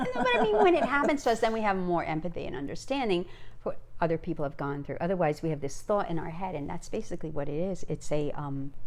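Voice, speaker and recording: Over noticeable background noise, a woman speaks at a very fast pace. Her fairly low voice moves in very wide pitch swings. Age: 60s. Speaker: grandmother podcast co-host. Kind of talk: casual chat. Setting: home video recording with Christmas tree.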